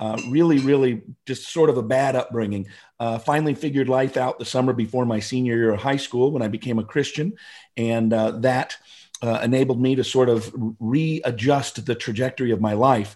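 A man with an American accent talks fairly quickly in an unremarkable speaking voice, medium in pitch. His intonation is fairly even, and the background is quiet. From US Pacific Northwest, Seattle area. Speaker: motivational speaker and author. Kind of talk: interview.

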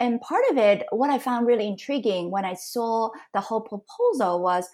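Speaking in a normal speaking voice, a woman talks fairly quickly at a fairly high pitch with ordinary pitch variation, in a very clean recording with a silent background. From Canada. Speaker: entrepreneur and business mentor. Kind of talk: interview conversation.

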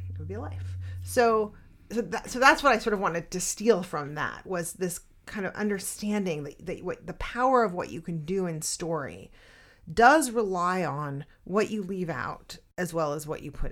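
Recorded very cleanly against a silent background, a woman talks at a moderate pace in a fairly low pitch, with vocal fry and big swings in loudness. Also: lively intonation. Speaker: podcast co-host and writing teacher. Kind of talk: casual chat.

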